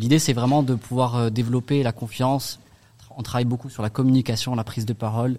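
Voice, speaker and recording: A man's dark, mellow voice at a fairly quick pace, flat and monotone in intonation. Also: medium pitch for a man. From Strasbourg, Alsace, France. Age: 30s. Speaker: association founder. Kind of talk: radio interview.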